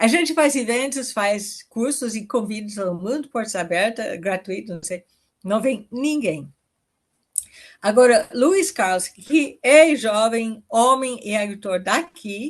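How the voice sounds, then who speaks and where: A woman speaks very slowly in a fairly high pitch. Her intonation is lively. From foreign-born, not Brazilian. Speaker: permaculture pioneer and farmer. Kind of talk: podcast interview.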